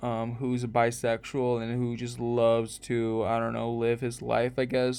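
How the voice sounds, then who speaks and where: A man speaks at a medium pitch. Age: 20s. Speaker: podcast host, college student. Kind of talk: casual monologue podcast. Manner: halting, many fillers.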